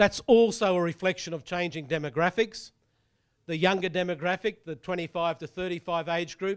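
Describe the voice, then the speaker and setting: This man has an Australian accent and a high pitch, with ordinary variation in it. The sound is dry and close with no echo, and the recording is very clean against a silent background. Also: moderate pace. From Australia (Brisbane). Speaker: property economist. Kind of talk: presentation talk.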